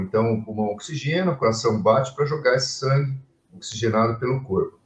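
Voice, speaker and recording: A man talks at a moderate pace, his pitch varying an ordinary amount. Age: 60s. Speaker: physician, lung and intensive care specialist. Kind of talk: interview in a live stream. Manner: halting, with many fillers and repetitions.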